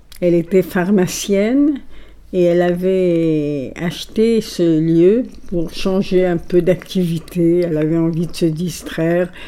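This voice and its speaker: Speaking at a very slow pace with an Italian accent, a woman uses a fairly low pitch, a dark, mellow tone and ordinary pitch variation. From Egypt (Alexandria), Greek family. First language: Italian (speaking French). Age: 80s+. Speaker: poetry club owner. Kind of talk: interview.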